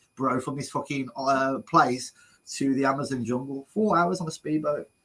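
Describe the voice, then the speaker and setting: The voice has a bright, sharp tone and a Brummie accent. It moves at a moderate pace with ordinary pitch variation. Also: man. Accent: Brummie (Birmingham). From English Midlands, Birmingham. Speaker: travel vlogger, interviewer. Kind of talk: casual interview chat.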